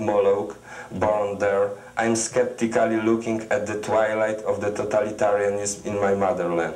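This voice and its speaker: Speaking at a fairly slow pace and medium pitch, a man keeps his intonation fairly even, with audible room echo. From Poland. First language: Polish. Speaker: poet. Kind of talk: poetry reading. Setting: TV studio. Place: studio.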